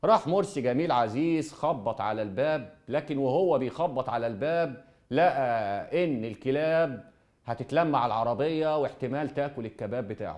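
A man's lively intonation at a fairly slow pace, with a quiet background. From Egypt. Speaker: TV presenter. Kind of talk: storytelling monologue. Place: studio. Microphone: lapel.

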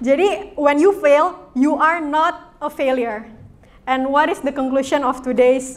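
Fairly slow pace with ordinary pitch variation. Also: woman. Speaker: youth church speaker; speaker. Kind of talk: sermon; interactive game with audience. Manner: casual, code-switching Indonesian and English. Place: church. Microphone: mic too quiet at first; handheld.

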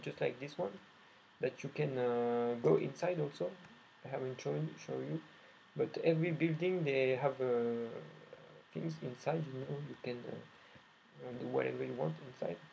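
Somewhat breathy and dark, mellow in tone, a man speaks at a moderate pace with a French accent. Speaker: indie game developer. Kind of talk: gameplay demo commentary. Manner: halting, many fillers and repetitions.

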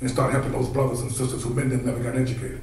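Amid light background noise and audible room echo, a man speaks with monotone, flat intonation. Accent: American. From Washington, D.C. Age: 50s. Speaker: consultant. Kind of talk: panel discussion. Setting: stage with audience. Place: hall.

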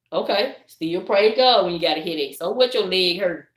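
A woman talks at a moderate pace in a Southern US accent, her intonation lively. The background is quiet, though the room echo is audible. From US South. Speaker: YouTuber. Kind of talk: casual chat. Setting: livestream. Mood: animated, preachy encouragement. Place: home room. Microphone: phone near.

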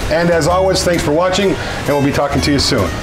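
Over clear music in the background, the speaker talks at a very fast pace with ordinary pitch variation. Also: man. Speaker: woodworking channel host. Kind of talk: casual vlog chat. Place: workshop.

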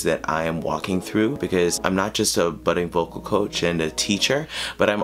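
Light background noise sits behind a man with a very deep, low pitch and ordinary pitch variation. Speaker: vocal coach. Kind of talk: casual vlog chat. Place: home room.

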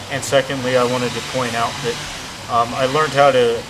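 A man with an American accent and fairly even intonation, against noticeable background noise. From Southern California. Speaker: martial arts student giving seminar feedback. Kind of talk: testimonial. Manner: halting, many fillers. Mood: earnest, appreciative. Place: garden. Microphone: camera far.

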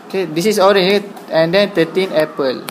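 A fairly slow pace over noticeable background noise. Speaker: maths teacher. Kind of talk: tutorial.

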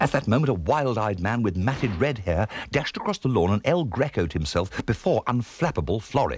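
An unforced reading voice with lively intonation.

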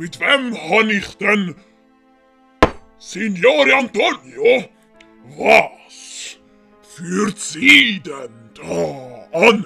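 Pitched high with very wide swings, a man uses a raised, projected, put-on character voice at a very slow pace with long, frequent pauses over faint music in the background. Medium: read story. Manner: pompous.

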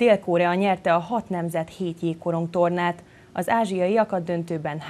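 In a plain, everyday voice, a woman speaks at a fairly slow pace with fairly even intonation and a fairly low pitch. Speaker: sports news presenter. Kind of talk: news reading. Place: studio.

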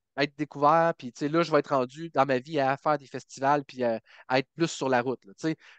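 In a dry sound with no echo and a quiet background, a man uses a normal speaking voice, fairly high in pitch, at a fairly quick pace with fairly even intonation. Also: big swings in loudness. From Quebec, Bas-Saint-Laurent; Quebec. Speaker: country singer; podcast guest. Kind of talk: interview. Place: home room. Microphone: headset.

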